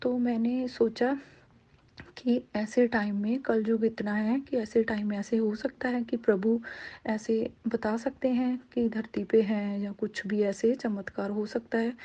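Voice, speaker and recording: Speaking with a Punjabi accent, a woman uses a fairly high pitch and a dark, mellow tone with monotone, flat intonation. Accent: Punjabi-accented Hindi. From Punjab, India. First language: Punjabi (speaking Hindi). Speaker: devotee sharing experience. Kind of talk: testimony. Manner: halting.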